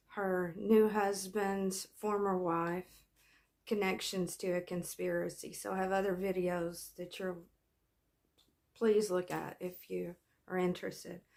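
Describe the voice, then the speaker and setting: Speaking at a fairly slow pace, a woman keeps her intonation monotone and flat. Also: medium pitch for a woman. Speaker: true crime commentator and flower farmer. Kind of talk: casual true crime commentary. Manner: halting, word-finding pauses; many fillers and repetitions.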